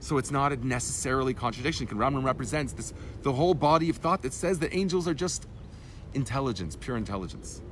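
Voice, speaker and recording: Fairly quick speech with lively intonation and audible room echo. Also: man. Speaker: rabbi teaching Torah class. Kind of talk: lecture. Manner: fast; halting, self-correcting.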